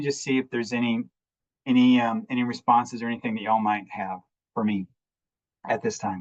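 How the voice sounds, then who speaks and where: A man's lively intonation at a fairly quick pace. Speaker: restorative justice facilitator. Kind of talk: presentation. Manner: halting.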